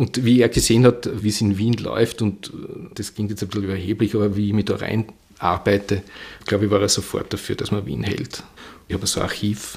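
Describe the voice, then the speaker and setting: A normal speaking voice from a man, fairly low in pitch with fairly even intonation, at a fairly quick pace. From Vienna, Austria. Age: 60s. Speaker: bookseller. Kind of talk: interview. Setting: bookshop.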